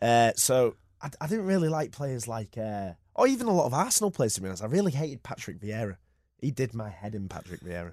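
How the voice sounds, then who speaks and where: Very fast and set against a quiet background, a man with a Yorkshire accent speaks at a medium pitch with very wide pitch swings and big swings in loudness. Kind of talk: casual sports chat. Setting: studio.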